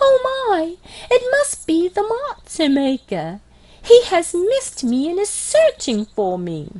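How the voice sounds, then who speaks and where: A woman's squeaky, put-on character voice at an extremely high pitch, with very wide pitch swings and a fairly slow pace. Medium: read story. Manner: timid, wondering.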